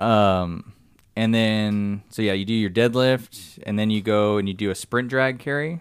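This man has an ordinary speaking voice, fairly low in pitch, with ordinary pitch variation and a fairly slow pace. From Southern California (San Diego). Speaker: army soldier and CrossFit athlete. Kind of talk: casual chat.

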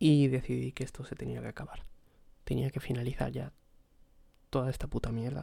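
A man at a fairly quick pace, broken by long, frequent pauses. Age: 20s. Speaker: podcaster. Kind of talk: solo personal monologue. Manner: hesitant, repetitive.

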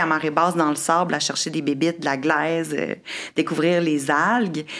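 Against noticeable background noise, a woman speaks in a fairly low voice. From Quebec City. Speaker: marine biologist and environmental entrepreneur. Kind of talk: casual chat.

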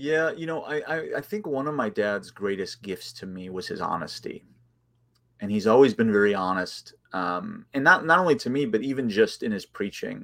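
A man's voice with very wide pitch swings and big swings in loudness, in a very clean recording against a silent background. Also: medium pitch for a man, moderate pace. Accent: American. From US Midwest, Chicago suburbs. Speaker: theology professor. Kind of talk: casual interview.

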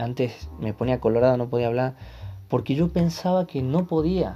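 A man talks at a moderate pace with a medium pitch and ordinary pitch variation. His tone is dark and mellow against a quiet background. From Santiago del Estero, Argentina. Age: 20s. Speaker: podcast host, physical education teacher. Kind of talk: solo podcast monologue.

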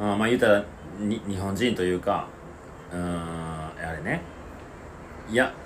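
A man speaks at a fairly slow pace with long, frequent pauses. His voice is fairly low in pitch, with ordinary pitch variation. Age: 30s. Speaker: podcast co-host. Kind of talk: casual chat.

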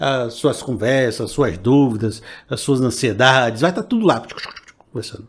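A plain, everyday voice from a man at a moderate pace. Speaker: pastor. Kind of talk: preacher exhortation, sermon-style appeal with call to receive the word. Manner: earnest, persuasive, rising fervor; direct, addresses listener personally.

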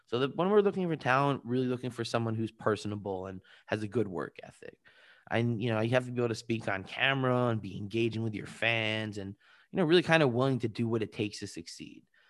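A man with a New York accent at a very fast pace, medium pitch and ordinary pitch variation, in a very clean recording with a silent background. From Long Island, New York. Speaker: entertainment and esports attorney. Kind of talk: interview.

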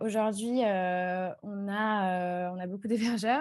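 At a medium pitch, this woman talks in a plain, everyday voice. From Strasbourg, eastern France. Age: 20s. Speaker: community manager. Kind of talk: interview.

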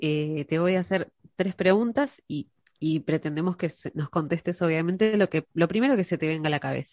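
A normal speaking voice moves at a moderate pace with ordinary pitch variation, in a dry, close sound with no echo. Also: woman, fairly low pitch for a woman. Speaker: radio host. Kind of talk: interview.

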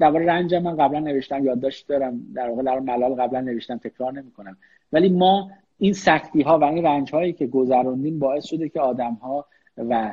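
This man talks at a fairly quick pace with ordinary pitch variation. His pitch is fairly high, and he has an unremarkable speaking voice. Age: 30s. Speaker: business executive. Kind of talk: online interview. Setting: Instagram live.

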